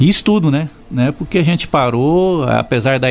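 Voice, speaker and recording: Behind the speech, music is playing. The man's pitch moves in an ordinary way. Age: 60s. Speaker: retired footballer and football coach. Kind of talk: interview. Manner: fluent, articulate.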